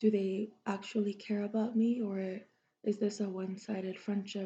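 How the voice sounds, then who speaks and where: A woman whispers in a soft-spoken, somewhat breathy way. Her pace is fairly slow. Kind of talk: ASMR soft-spoken chat. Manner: soft-spoken, whispery.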